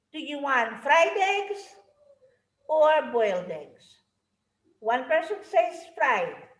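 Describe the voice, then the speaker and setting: A woman speaks at an extremely high pitch with very wide pitch swings and a very slow pace. Audible room echo surrounds her voice. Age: 60s. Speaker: martial arts instructor. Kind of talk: interview.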